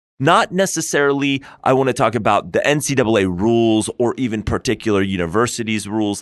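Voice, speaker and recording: A plain, everyday voice with an American accent moves at a fairly quick pace with hardly any pauses, very even loudness and lively intonation against a quiet background. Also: man, medium pitch for a man. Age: 40s. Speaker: lawyer and podcast co-host. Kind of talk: casual chat.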